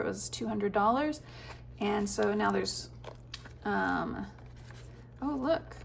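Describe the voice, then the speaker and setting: Noticeable background noise is present throughout. The woman talks at a very slow pace. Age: 40s. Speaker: physician and budgeting vlogger. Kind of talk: casual tutorial vlog.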